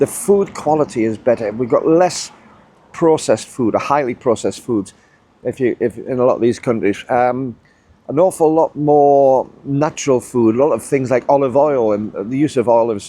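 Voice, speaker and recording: In a British accent, a man speaks at a moderate pace with a dark, mellow tone, medium pitch and ordinary pitch variation. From UK. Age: 60s. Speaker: YouTuber, ex-military retiree. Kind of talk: casual vlog monologue.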